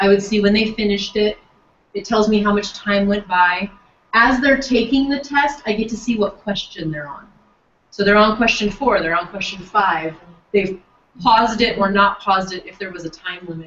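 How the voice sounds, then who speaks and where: This woman has a medium pitch with ordinary pitch variation, and her loudness swings a lot. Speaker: software trainer. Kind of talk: workshop training session. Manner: fast.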